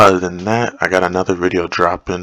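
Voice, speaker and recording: Over music in the background, a man speaks in a relaxed tone with a very deep, low pitch and monotone, flat intonation. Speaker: forex trading youtuber. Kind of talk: live trading commentary. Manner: casual, relaxed.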